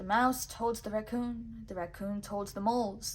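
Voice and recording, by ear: Natural-voiced reading aloud, its intonation fairly even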